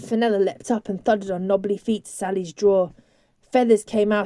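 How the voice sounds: The speaker has a natural reading voice. Intonation stays fairly even.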